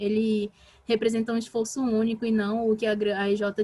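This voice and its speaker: Somewhat breathy and dark, mellow in tone, a woman speaks at a fairly high pitch. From Brazil, Pará. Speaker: talk speaker on team management. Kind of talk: online talk / workshop. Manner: fast; animated.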